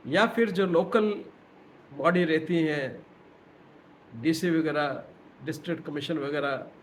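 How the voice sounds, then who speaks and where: A man with long, frequent pauses amid audible room echo. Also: fairly high pitch for a man, ordinary pitch variation. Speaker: retired professor. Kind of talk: lecture. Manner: halting.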